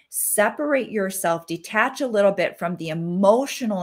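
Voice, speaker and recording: An unremarkable speaking voice moves at a fairly slow pace with lively intonation, in a very clean recording with a silent background. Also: woman. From Wisconsin, US Midwest. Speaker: mindset coach and hypnotherapist. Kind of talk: podcast interview.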